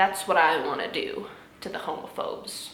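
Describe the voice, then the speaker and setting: A woman talks at a moderate tempo while audible room echo and noticeable background noise fill the recording. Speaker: YouTuber reacting to memes. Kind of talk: casual commentary. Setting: home recording in apartment. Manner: animated.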